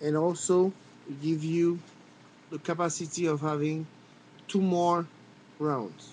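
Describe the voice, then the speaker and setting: A man with a French accent speaks at fairly high pitch and a fairly slow pace, with fairly even intonation and long, frequent pauses. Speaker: firearms hobbyist video maker. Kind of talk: tutorial. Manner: halting.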